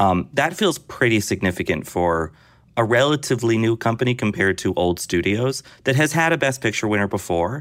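A man with an unremarkable speaking voice talks at a fairly quick pace and medium pitch. His intonation is lively and his loudness very even. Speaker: film critic. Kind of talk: casual chat.

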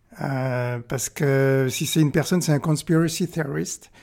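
A man speaks in a fairly high pitch. His pace is very slow. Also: very clean recording, silent background. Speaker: press cartoonist. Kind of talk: interview. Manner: halting, many repetitions and hesitations.

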